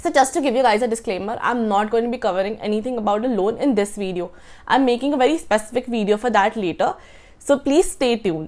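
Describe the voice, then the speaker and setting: Talking at a very fast pace, a woman uses lively intonation. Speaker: student vlogger. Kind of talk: informational vlog talk. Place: home room. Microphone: lapel.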